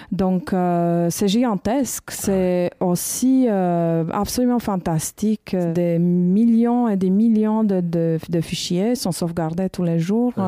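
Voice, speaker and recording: The voice has a dark, mellow tone and very even loudness, with ordinary pitch variation. It moves at a very slow pace with hardly any pauses. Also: woman, medium pitch for a woman. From Romania, Bucharest. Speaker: documentary filmmaker. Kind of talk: interview. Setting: university library.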